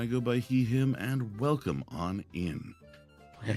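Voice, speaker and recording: A man is speaking. Music plays in the background. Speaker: streamer, voice actor.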